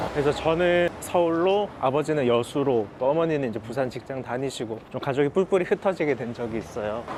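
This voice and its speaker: A man's fairly high, lively voice at a fairly quick pace, hardly any pauses, with noticeable background noise. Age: 30s. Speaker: hearing aid center owner. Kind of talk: documentary interview.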